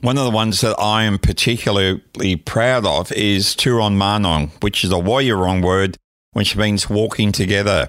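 A man with an Australian accent, his fairly low voice showing ordinary pitch variation, very even in loudness, on a very clean recording with a silent background. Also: moderate pace. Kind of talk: interview.

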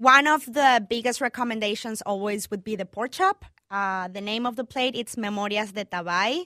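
A woman with a Spanish accent, fairly high-pitched with a bright, sharp tone, at a moderate pace with hardly any pauses and ordinary pitch variation, in a very clean recording with a silent background. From Venezuela, Caracas. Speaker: chef and restaurant owner. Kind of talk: interview.

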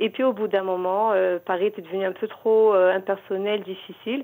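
A woman with a medium pitch speaks at a fairly slow pace in a normal speaking voice, her intonation fairly even. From Morocco. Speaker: novelist and librarian. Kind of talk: radio interview.

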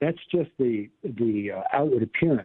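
The speaker is a man. He has an American accent. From US South. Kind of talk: interview on faith.

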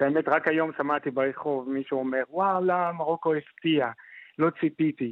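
A man's plain, everyday voice, moderate in pace and fairly even in intonation. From Morocco, Fez. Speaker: doctoral student in anthropology. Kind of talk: radio interview.

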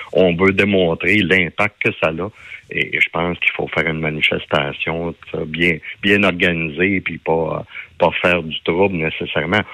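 A man's very deep, low voice, fairly slow pace and monotone, flat intonation. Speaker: farmers' union leader. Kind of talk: radio interview. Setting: phone call.

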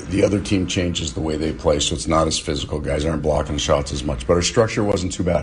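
Noticeable background noise sits behind this man's voice. He speaks fairly quickly with lively intonation. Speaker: hockey head coach. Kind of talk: post-practice media interview. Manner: rambling, self-correcting explanation.

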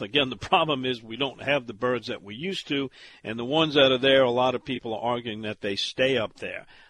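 A man with a Louisiana accent has a bright, sharp tone, captured in a dry, close sound with no echo. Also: quiet background. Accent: Southern US, Louisiana. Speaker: outdoors radio show host. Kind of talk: radio talk show interview.

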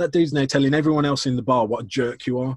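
A man with a Lancashire accent speaks at a very fast pace and a fairly high pitch. The sound is dry and close with no echo. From northwest England, Chorley. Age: 30s. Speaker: customer experience speaker and consultant. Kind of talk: casual interview chat.

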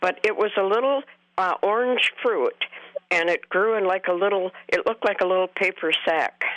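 A woman with an ordinary speaking voice talks at a moderate pace and medium pitch, her pitch varying in an ordinary way. Her loudness stays very even, and the sound is dry and close with no echo. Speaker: caller. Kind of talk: radio call-in. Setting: phone call.

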